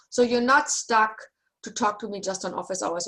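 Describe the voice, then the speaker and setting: Her pace fairly quick, a woman talks with normal variation in pitch. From Germany. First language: German. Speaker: university lecturer. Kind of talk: online class session. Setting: video call.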